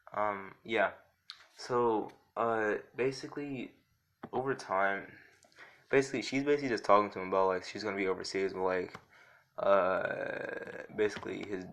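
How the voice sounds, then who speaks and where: There is a man talking over a quiet background. He leaves long, frequent pauses. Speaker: YouTuber narrating fan fiction scenario. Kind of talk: casual monologue. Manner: fast; halting, many filler words.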